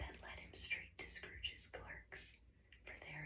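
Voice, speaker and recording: The voice whispers at a fairly slow pace. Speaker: ASMR storyteller. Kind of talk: audiobook reading. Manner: whispered.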